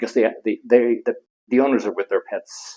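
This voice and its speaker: The speech comes at a fairly quick pace in an Irish accent. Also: man. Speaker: veterinarian. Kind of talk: interview answer.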